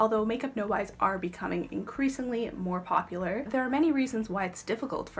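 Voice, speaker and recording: With music playing behind her, a woman talks fairly quickly with lively intonation. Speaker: beauty YouTuber. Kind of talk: casual talk to camera.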